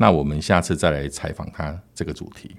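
A man talks at a moderate pace, and the recording is very clean with a silent background. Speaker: podcast host. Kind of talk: casual interview chat.

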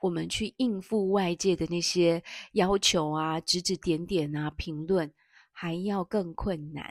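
Very slowly and with fairly even intonation, a woman speaks at a fairly low pitch, the sound dry and close with no echo on a very clean recording with a silent background. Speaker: podcast host, parenting educator. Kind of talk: book review monologue. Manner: hesitant, many fillers.

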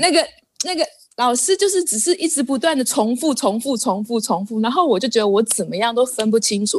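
Her tone animated, a woman talks at a fairly quick pace in a high pitch with very wide pitch swings. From Taiwan. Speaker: Taiwanese living in India, Hindi learner. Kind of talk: casual chat.

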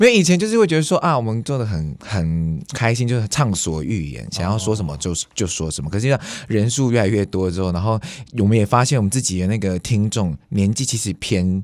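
This man has a plain, everyday voice pitched fairly low. He talks at a fairly quick pace with lively intonation. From Taiwan. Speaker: YouTuber and musician. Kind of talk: casual interview.

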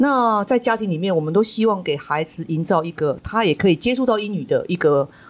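A woman talks in a plain, everyday voice at a medium pitch. Her intonation is lively and she leaves hardly any pauses. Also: fairly quick pace. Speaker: school principal and podcast host. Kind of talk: interview hosting.

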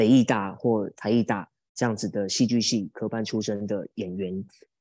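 Recorded very cleanly against a silent background, a man speaks at medium pitch and a fairly slow pace. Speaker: stage comedy performer. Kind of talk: casual interview. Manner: animated, talkative.

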